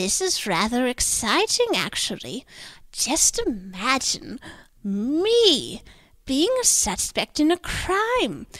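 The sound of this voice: Slow and fairly bright in tone, a woman's put-on character voice sits at a high pitch with big pitch swings.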